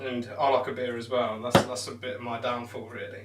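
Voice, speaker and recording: An English accent, with noticeable background noise and audible room echo. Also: man. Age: 20s. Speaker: darts streamer. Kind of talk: live stream chat. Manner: casual.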